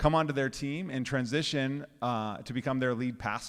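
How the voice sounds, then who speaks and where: A man with a normal speaking voice at medium pitch, fairly quick, on a very clean recording with a silent background. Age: young. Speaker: pastor. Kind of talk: casual chat.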